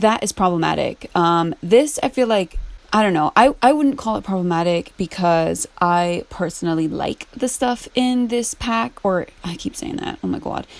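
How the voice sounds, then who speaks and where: A woman talks at a moderate pace with hardly any pauses, in a plain, everyday voice. Her intonation is lively. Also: medium pitch for a woman. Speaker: gaming YouTuber. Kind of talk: casual chat while gameplay building. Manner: casual, filler-heavy.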